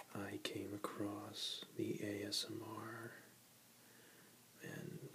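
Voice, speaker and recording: Someone whispers while noticeable background noise fills the recording. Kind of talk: casual talk to camera. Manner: whispered, soft-spoken.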